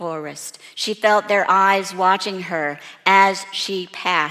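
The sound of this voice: Reading aloud in an unforced manner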